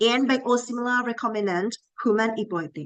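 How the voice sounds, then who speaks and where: In a dry, close sound with no echo, a woman with a Thai accent talks at a fairly quick pace and a fairly high pitch. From Thailand. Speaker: pharmacy professor. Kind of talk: lecture. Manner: halting.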